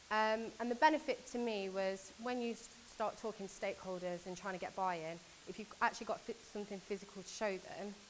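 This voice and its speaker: Fairly quick in pace, a woman talks in a British accent at a medium pitch with ordinary pitch variation. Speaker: conference speaker from a government agency. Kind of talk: conference talk. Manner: fast.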